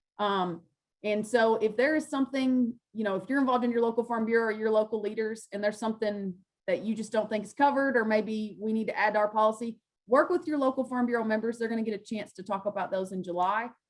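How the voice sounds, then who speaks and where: The speaker talks at a very fast pace with a Kentucky accent. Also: woman, fairly high pitch for a woman, ordinary pitch variation. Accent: Kentucky Southern US. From western Kentucky. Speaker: farm organization field specialist. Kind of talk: panel presentation and Q&A. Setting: video call.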